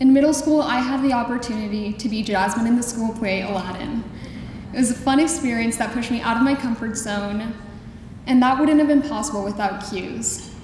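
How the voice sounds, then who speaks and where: A woman speaks at a moderate pace, fairly high in pitch with ordinary pitch variation. Audible room echo and noticeable background noise surround her voice. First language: Spanish. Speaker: school alumna speaker. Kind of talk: prepared speech.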